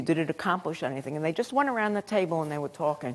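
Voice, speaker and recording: A woman with a Brooklyn accent speaks with very wide swings in pitch. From Brooklyn, New York. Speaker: professor. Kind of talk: lecture. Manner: halting, many fillers.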